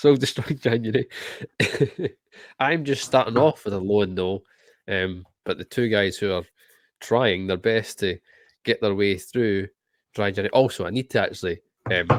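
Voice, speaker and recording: There are long, frequent pauses as this man talks. His pace is moderate. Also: fairly low pitch for a man, ordinary pitch variation. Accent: Scottish. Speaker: podcast host. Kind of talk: casual chat. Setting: video call.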